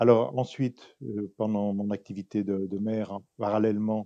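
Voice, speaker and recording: The sound is dry and close with no echo, against a quiet background. A man speaks at a moderate pace in a fairly low, dark, mellow voice. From France, Pays de Gex near Geneva. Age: 70s. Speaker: local politician, former mayor. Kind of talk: campaign interview.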